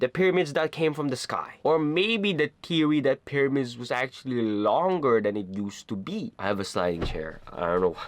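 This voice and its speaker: A man with a non-native accent talks in an animated tone at a moderate pace. His fairly high voice swings very widely in pitch. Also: dry, close sound with no echo. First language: not English. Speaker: anime YouTuber. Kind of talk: casual commentary video.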